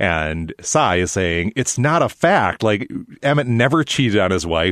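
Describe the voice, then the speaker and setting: Against a quiet background, a man with an American accent talks at a moderate pace, his fairly low voice swinging very widely in pitch. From Minnesota. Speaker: podcast host. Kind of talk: casual chat.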